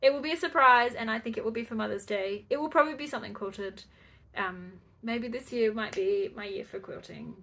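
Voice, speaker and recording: A woman with an Australian accent speaks at a fairly quick pace in a fairly high voice, her intonation lively and her loudness swinging widely. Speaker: crafting podcaster. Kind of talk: casual chat. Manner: halting.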